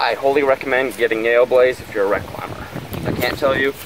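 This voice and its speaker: The sound is dry, without any echo. A man talks while noticeable background noise plays. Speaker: recreational tree climber reviewing gear. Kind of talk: casual product review. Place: forest. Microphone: phone near.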